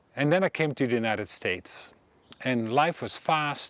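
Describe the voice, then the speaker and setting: At a moderate pace, a man with a Dutch accent speaks in a medium pitch, with a dry, close sound with no echo on a very clean recording with a silent background. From Netherlands. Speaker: meditation teacher. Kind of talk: personal talk to camera.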